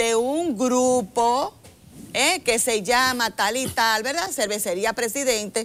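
A high-pitched woman at a very slow pace, with faint music in the background. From Dominican Republic. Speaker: government agency director; TV guest. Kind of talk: interview. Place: studio. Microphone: lapel.

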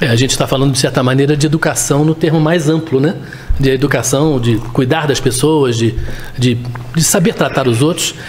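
The man has a normal speaking voice that is fairly high in pitch. He moves at a fairly quick pace with ordinary pitch variation. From Brazil. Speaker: interviewer and show host. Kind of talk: interview. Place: office. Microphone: studio mic.

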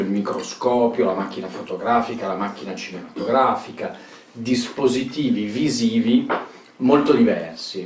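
A man talks at a fairly slow pace. There is audible room echo and light background noise. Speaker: speaker. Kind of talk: interview answer. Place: home room. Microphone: camera far.

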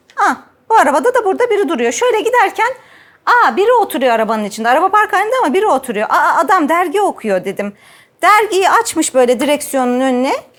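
Animated, fairly quick delivery with very wide swings in pitch. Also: woman, extremely high pitch for a woman. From Ankara, Turkey. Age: 40s. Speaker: gynecologist and sexologist. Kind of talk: personal testimony and talk to camera.

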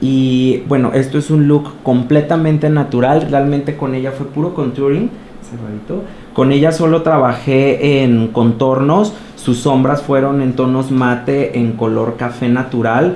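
A man's voice with ordinary pitch variation against noticeable background noise. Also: medium pitch for a man, fairly slow pace. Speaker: makeup artist. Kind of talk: interview.

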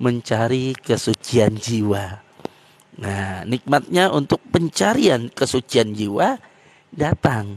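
Sounding dry with no echo, a man speaks at a very slow pace. His pitch variation is ordinary. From East Aceh, Indonesia; Aceh, Indonesia. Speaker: speaker. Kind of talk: religious explanation. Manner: halting with many fillers. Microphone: handheld.

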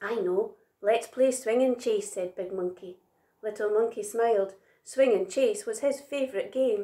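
This is a plain reading aloud, set against a quiet background.

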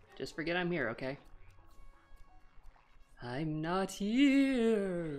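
A put-on character voice with a middle pitch talks at a very slow pace. Music plays in the background.

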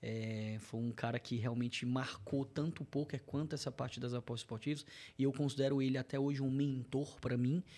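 A man's medium-pitched voice with a dark, mellow tone, fairly even intonation and a fairly quick pace. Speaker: betting content creator. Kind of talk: casual interview. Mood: relaxed, reflective. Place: studio. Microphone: studio mic.

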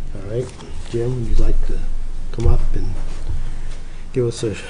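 Over noticeable background noise, a man talks at a moderate pace with big swings in loudness. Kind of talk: meeting procedure talk. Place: meeting room. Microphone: podium.

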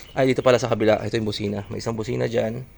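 A man speaks at a very fast pace with a medium pitch. His voice carries vocal fry. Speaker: car owner vlogger. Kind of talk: tutorial. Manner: casual, conversational.

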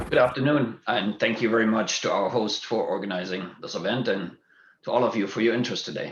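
A man with a German accent at a fairly quick pace. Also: medium pitch for a man, ordinary pitch variation. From Germany. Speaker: school board candidate, physician and executive. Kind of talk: candidate forum opening statement.

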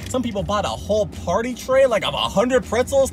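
With music in the background, a man speaks in a dry sound with no echo and ordinary pitch variation. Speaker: food reviewer. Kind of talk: casual vlog chat. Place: car. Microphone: phone near.

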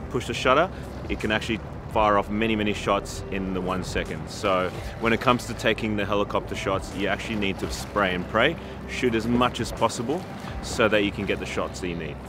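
The voice moves at a fairly quick pace with ordinary pitch variation, in a dry sound with no echo but with noticeable background noise. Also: man. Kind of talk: tutorial. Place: waterside.

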